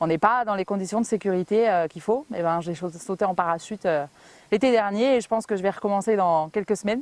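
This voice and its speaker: A woman of medium pitch and ordinary pitch variation talks at a fairly quick pace in a very clean recording with a silent background and a dry, close sound with no echo. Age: 30s. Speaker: home sales rep, weight-loss testimonial. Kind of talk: interview testimony. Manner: hesitant, many fillers.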